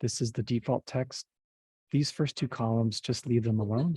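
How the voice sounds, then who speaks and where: A man's voice with a dark, mellow tone and a somewhat breathy quality. The sound is dry and close, with no echo. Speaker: software trainer. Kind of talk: tutorial.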